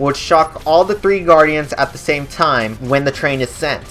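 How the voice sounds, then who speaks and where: The talking is fairly quick. Music can be heard in the background. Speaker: gaming YouTuber. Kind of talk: tutorial; casual chat. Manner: halting; casual.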